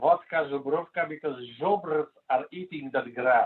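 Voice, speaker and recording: At a very slow pace, a man with a Polish accent speaks at a fairly high pitch. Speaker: interview guest. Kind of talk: casual chat. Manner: halting.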